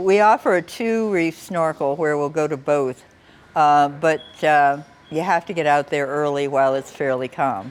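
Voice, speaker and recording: Speaking in an American accent, a woman uses a very deep, low pitch. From United States. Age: 70s. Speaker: sailing tour company owner, boat captain. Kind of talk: interview answer.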